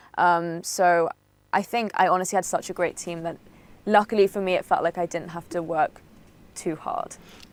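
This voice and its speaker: Captured on a very clean, dry and close recording with a silent background and no echo, a woman speaks at a moderate pace in a fairly low voice with a Welsh accent and monotone, flat intonation. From Wales. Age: 20s. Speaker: voice actress. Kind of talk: interview. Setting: studio.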